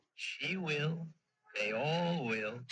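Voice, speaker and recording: A man puts on a character voice. His pitch is fairly high. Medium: old radio play. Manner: quiet, eerie.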